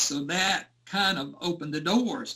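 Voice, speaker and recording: A man with a Southern US accent speaks in a raised, projected voice. His pitch swings very widely. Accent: Southern US (Georgia). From US South, rural Georgia. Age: 60s. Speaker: Elvis fan recalling concerts. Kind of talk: interview storytelling.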